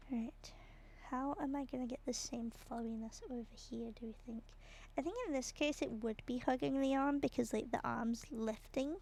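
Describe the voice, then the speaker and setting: A woman with a British accent and a relaxed tone speaks at a moderate pace, high in pitch with ordinary pitch variation. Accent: British, very obvious on some words. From Britain. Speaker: streamer. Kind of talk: casual chat while drawing on livestream. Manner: relaxed, hesitant with fillers.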